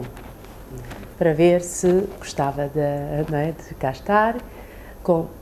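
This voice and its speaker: Lively intonation from a woman over noticeable background noise. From China, raised in Portugal from age 8. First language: Chinese (speaking Portuguese). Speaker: immigrant interviewee. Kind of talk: interview testimony.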